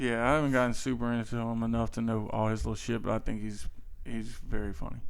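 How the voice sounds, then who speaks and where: In a Louisiana accent, the speaker goes at a very fast pace with fairly even intonation, and the room echo is audible. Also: man, medium pitch for a man. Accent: Louisiana Southern US. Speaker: podcast host. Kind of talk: casual chat.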